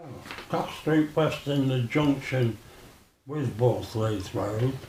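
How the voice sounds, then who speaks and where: This voice moves at a very slow pace with ordinary pitch variation. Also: man, medium pitch for a man. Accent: Birmingham. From Birmingham, England. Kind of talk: interview answer.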